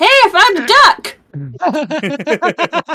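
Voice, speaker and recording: This put-on character voice sits at an extremely high pitch with very wide pitch swings. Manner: excited, cheerful.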